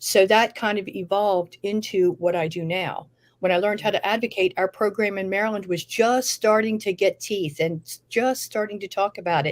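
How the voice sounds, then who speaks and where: Hardly pausing, a woman with a medium pitch and an unremarkable speaking voice talks at a moderate pace with fairly even intonation. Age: 60s. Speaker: nurse and cannabis consultant. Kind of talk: interview.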